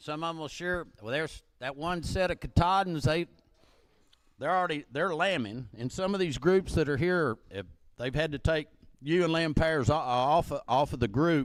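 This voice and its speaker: A man speaks with an American accent at a moderate pace. His voice sits at a fairly high pitch. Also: ordinary pitch variation. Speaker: livestock auctioneer. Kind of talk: auction announcements. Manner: loud; casual, halting with repetitions.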